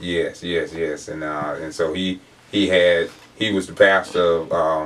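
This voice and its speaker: With an Alabama accent, a man talks at a fairly slow pace in a very deep, low voice with flat, monotone intonation. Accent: US South, Alabama. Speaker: pastor. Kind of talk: interview.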